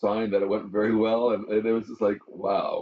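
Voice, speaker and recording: A man talks fairly quickly at a medium pitch with a Canadian accent. It is an ordinary speaking voice. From Western Canada. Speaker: pastor. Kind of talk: interview answer.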